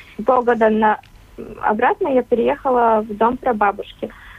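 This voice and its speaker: A woman with a high voice speaks at a moderate pace and a fairly even intonation over noticeable background noise. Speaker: young farmers club member. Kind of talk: radio interview. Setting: remote line.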